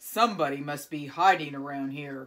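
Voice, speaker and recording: Using a put-on character voice, a woman growls at a very deep, low pitch and a moderate pace. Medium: read story.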